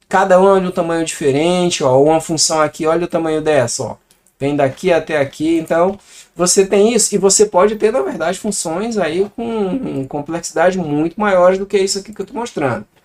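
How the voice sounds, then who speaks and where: The speaker is a man with a high pitch. His pitch moves with ordinary variation. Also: moderate pace. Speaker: programming teacher. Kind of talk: tutorial. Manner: casual.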